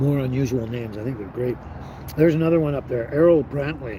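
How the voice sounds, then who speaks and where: A man with a Canadian accent talks at medium pitch with ordinary pitch variation, amid noticeable background noise and audible room echo. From western Canada (British Columbia). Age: 60s. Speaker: live stream host. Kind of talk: casual chat. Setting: live stream.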